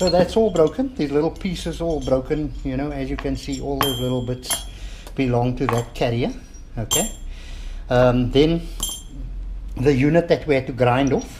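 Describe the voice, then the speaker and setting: Over noticeable background noise, a man talks at a moderate pace, leaving long, frequent pauses. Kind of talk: tutorial. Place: workshop. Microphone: camera far.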